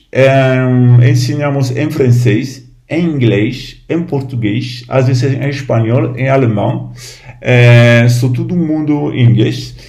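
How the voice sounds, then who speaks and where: A man speaks at a very slow pace in a medium pitch with ordinary variation, with audible room echo around him. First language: French (speaking Portuguese). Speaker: Buddhist lama. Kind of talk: informal talk to camera. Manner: halting.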